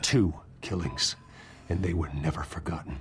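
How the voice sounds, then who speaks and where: Over clear background noise, a man does a put-on character voice, growling at a very deep, low pitch and a moderate pace. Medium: video game. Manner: cold, terse.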